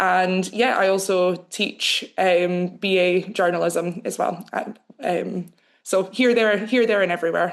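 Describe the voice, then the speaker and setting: Against a quiet background, a woman with a Scottish accent speaks at a fairly slow pace in a medium-pitched voice, with fairly even intonation and very even loudness. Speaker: news editor and journalist. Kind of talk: webinar panel discussion.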